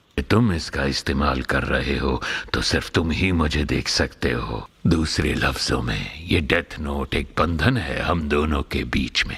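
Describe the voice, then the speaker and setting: In a put-on character voice, a man talks at a moderate pace with a very deep, low pitch over light background noise. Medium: fan dub. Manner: casual, amused.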